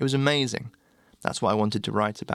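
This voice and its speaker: Intonation is held fairly even. The man talks at a very fast pace. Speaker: blog narrator. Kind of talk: reading aloud a written blog post.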